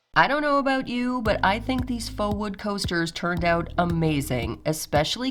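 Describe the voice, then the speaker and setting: Against noticeable background noise, a woman at medium pitch speaks at a moderate pace with very wide pitch swings. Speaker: DIY crafts YouTuber. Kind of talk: tutorial narration.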